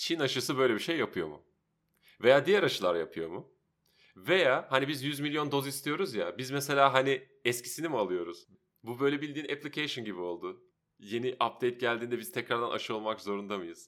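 A man talks at a fairly quick pace with lively intonation. His voice has vocal fry. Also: medium pitch for a man. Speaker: podcast co-host. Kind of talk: casual chat.

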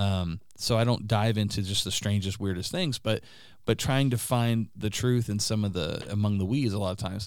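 An ordinary speaking voice moves at a moderate pace with fairly even intonation, captured in a very clean recording with a silent background. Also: man, fairly low pitch for a man. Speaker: podcast guest and friend of host. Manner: fluent, rarely stumbles.

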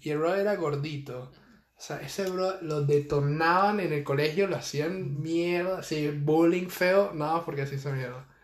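A man with a Venezuelan accent, high in pitch, at a fairly slow pace, amid audible room echo. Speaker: podcast co-host, university student. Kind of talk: casual chat.

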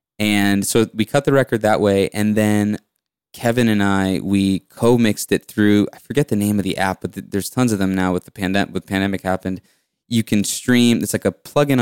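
The voice is a normal speaking voice with fairly even intonation, moving at a fairly quick pace. The recording is very clean with a silent background and a dry, close sound with no echo. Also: man. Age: 20s. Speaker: musician. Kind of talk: casual chat.

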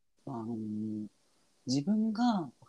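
A man speaks fairly slowly at a medium pitch, his voice dark and mellow. His pitch swings very widely, and the sound is dry and close with no echo. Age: 30s. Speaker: gamer and Twitter Spaces host. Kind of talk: casual chat.

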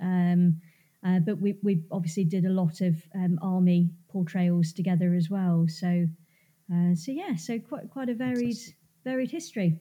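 In an English accent, a woman with a dark, mellow, somewhat breathy tone speaks with ordinary pitch variation in a very clean recording with a silent background. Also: medium pitch for a woman, moderate pace. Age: 30s. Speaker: reproduction business co-founder. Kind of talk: casual chat.

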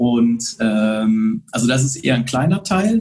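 The voice is somewhat breathy. Its pitch swings very widely. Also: man. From Bonn area, Rhineland, western Germany. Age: 40s. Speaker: photographer. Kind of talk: casual interview. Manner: hesitant with frequent fillers.

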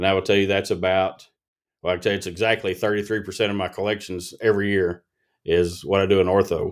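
A man with a fairly low pitch and an Appalachian accent, flat and monotone, on a very clean recording with a silent background. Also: fairly quick pace. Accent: Appalachian Kentucky. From Appalachian eastern Kentucky. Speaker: pediatric dentist. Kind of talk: casual interview.

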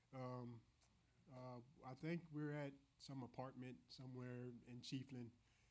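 Speaking at a fairly slow pace, a medium-pitched man with a Southern US accent keeps a monotone, flat intonation. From rural Florida. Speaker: church member. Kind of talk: testimony. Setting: church with congregation. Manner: halting.

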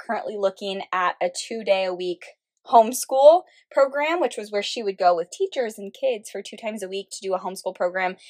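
A woman's medium-pitched voice at a moderate pace with ordinary pitch variation, a dry, close sound with no echo, in a very clean recording with a silent background. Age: 20s. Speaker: podcast host and business coach. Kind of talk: casual solo podcast monologue.

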